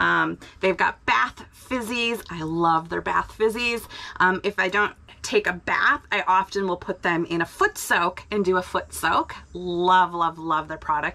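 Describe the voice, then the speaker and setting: A woman speaks at a fairly slow pace with ordinary pitch variation. Her tone is bright and sharp. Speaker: RV life vlogger. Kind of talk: casual vlog chat, sponsor read. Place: home room. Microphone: phone near.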